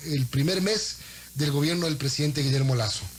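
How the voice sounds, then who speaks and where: Noticeable background noise runs under the clip. A man speaks at a moderate pace with ordinary pitch variation. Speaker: radio host. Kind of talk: radio interview.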